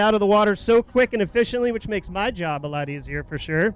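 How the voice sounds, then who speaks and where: A loud, high-pitched man at a very fast pace. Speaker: event emcee. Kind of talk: awards ceremony announcements.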